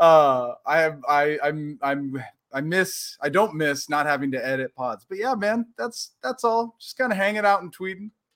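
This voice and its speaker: A man with a plain, everyday voice and an American accent talks at a moderate pace with hardly any pauses, his pitch fairly high. His intonation is lively and his loudness swings widely, in a dry, close sound with no echo. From Portland, Oregon. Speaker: sports podcaster. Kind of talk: casual chat.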